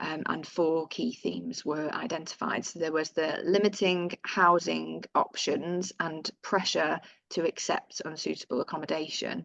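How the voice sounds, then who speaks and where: A woman with a northern English accent speaks at a fairly slow pace with hardly any pauses. The sound is dry and close, with no echo. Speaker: housing tenant organisation staff presenter. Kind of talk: webinar presentation of survey results. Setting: video call webinar.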